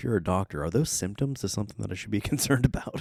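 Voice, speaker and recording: On a very clean recording with a silent background, a man with a dark, mellow tone and vocal fry speaks with lively intonation. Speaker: podcast host. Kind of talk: casual chat. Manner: halting.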